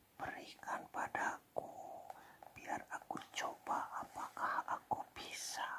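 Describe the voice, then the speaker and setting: A man whispers at a very slow pace. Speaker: ASMR storyteller. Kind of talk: read fairy tale. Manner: whispered.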